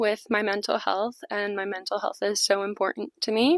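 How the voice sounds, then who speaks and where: A woman with a Chicago accent, fairly high in pitch, in a dry, close sound with no echo. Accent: Chicago-area American. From US Midwest, Chicago suburbs. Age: 20s. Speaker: book vlogger. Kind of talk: casual vlog talk to camera. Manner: casual, with filler words.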